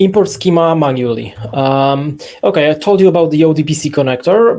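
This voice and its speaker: This man talks at a fairly quick pace with a Polish accent. His pitch is fairly high, with ordinary pitch variation. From Poland. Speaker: software company CEO; presenter. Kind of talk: webinar software demo. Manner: halting, many fillers.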